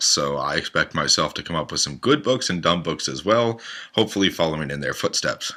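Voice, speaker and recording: With vocal fry and a bright, sharp tone, a man speaks in a very deep, low pitch and lively intonation. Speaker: podcast host. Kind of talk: self-introduction monologue.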